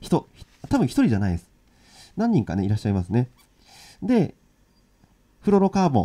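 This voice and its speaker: Against a quiet background, a man with a dark, mellow tone talks at a fairly quick pace, breaking with long, frequent pauses as his pitch swings very widely and his loudness shifts a lot. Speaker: ukulele and guitar teacher; ukulele teacher. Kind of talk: live-streamed lesson. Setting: live stream. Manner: casual, filler-heavy. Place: home room. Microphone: crackling audio noise; studio mic.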